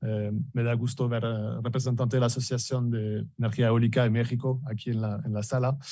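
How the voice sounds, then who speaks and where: Somewhat breathy, a man speaks in a French accent at medium pitch and a moderate pace. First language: French (speaking Spanish). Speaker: business director presenting at an industry event. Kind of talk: conference presentation. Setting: event hall with live audience, also streamed on video call. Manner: halting, many fillers and repetitions.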